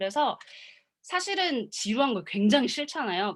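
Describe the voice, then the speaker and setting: An animated woman speaks at a moderate pace. Her pitch swings very widely. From Korea. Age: 20s. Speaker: motivational speaker. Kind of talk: seminar talk.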